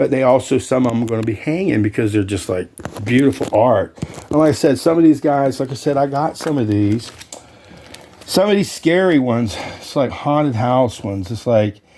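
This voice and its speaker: Over noticeable background noise, a man talks at a fairly quick pace and medium pitch with lively intonation. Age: 60s. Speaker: YouTuber and collector, also realtor. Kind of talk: casual vlog talk to camera. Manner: animated, enthusiastic.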